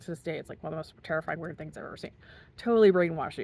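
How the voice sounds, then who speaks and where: Her voice fairly low in pitch, a woman speaks with fairly even intonation. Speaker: commentary vlogger. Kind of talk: casual monologue. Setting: outdoors. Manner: fast.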